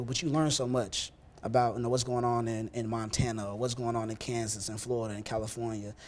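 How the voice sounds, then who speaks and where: The man talks at a very fast pace in a monotone, with flat intonation. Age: young. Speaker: church youth leader. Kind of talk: interview. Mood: earnest, calm. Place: studio. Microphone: lapel.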